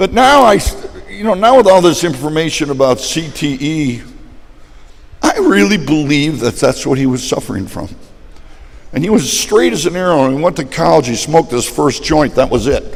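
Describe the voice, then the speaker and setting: Over noticeable background noise, a man talks at a moderate pace. His voice sits fairly high, with lively intonation. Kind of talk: testimony.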